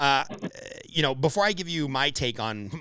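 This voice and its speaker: A man's medium-pitched voice with an American accent and a bright, sharp tone. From Los Angeles, California. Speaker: podcast host. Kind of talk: podcast interview. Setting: call.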